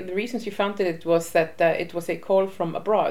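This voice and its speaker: A woman at a fairly quick pace with an Icelandic accent and ordinary pitch variation, amid noticeable background noise. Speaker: women's rights association head. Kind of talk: interview. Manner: halting.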